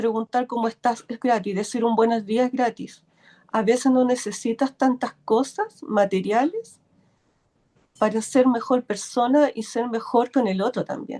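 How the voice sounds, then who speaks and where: Over music in the background, a woman with a high pitch speaks at a fairly slow pace, the sound dry and close with no echo. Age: 60s. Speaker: workshop participant. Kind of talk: casual chat. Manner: halting.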